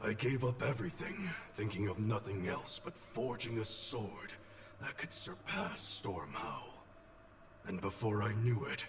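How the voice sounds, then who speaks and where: With clear background noise behind him, a man does a put-on character voice at a medium pitch and a moderate pace. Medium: video game. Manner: solemn, measured.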